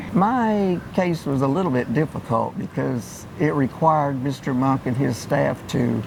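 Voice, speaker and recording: Noticeable background noise sits behind a man with a fairly high voice. He talks at a fairly slow pace with ordinary pitch variation. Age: 80s+. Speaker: law firm client. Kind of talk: client testimonial.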